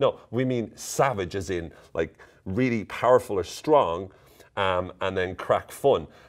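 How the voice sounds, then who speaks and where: A man speaks with an Irish accent on a very clean recording with a silent background. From Ireland. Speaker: psychologist and coach. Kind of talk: casual talk to camera. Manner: playful, upbeat.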